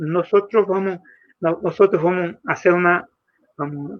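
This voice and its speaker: Speaking at a fairly slow pace, a man with a high voice talks in a Brazilian accent. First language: Portuguese (speaking Spanish). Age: 70s. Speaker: popular educator. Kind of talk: workshop talk. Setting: video call. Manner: halting.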